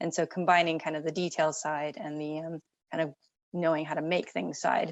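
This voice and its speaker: A woman with an American accent and an unremarkable speaking voice, ordinary pitch variation and a moderate pace. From United States. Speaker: company founder and architect. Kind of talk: interview.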